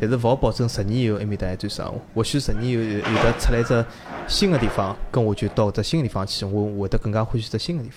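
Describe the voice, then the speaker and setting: Against noticeable background noise, a man at medium pitch talks at a very fast pace. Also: ordinary pitch variation. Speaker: Chinese emigrant to New Zealand. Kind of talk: casual chat.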